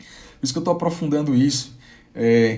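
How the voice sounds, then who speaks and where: A man's somewhat breathy, medium-pitched voice at a moderate pace, with ordinary pitch variation and audible room echo. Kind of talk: live-streamed sermon. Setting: live stream. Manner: halting, with repetitions.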